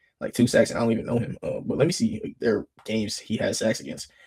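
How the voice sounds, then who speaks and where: A man speaks at a very fast pace with lively intonation. His voice is medium in pitch and somewhat breathy. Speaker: sports YouTuber. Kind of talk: casual solo commentary. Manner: animated.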